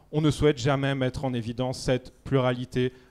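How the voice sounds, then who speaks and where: The recording is dry and close, with no echo. A man speaks fairly quickly in a medium pitch and a flat, monotone delivery. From Switzerland. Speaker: debate panelist. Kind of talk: public debate.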